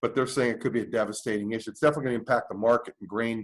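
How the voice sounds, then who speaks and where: A man talks at a very fast pace. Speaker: community group meeting leader. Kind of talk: presentation to online meeting. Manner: halting with many fillers.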